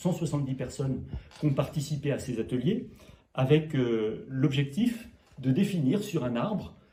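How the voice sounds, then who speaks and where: Here a man talks at a fairly slow pace with lively intonation. His tone is dark and mellow and somewhat breathy. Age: 60s. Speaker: mayor, local politician. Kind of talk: interview.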